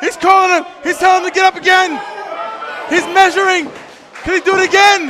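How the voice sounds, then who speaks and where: A raised, projected voice moves at a fairly quick pace with long, frequent pauses. Crowd noise fills the background. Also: man, extremely high pitch for a man. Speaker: wrestling commentator. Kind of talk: live wrestling play-by-play commentary. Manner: excited. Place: hall.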